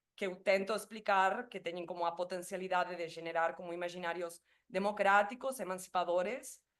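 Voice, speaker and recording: A woman speaks at a moderate pace with a Spanish accent, her pitch medium for a woman. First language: Spanish (speaking Portuguese). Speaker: doctoral researcher. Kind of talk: academic presentation. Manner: halting.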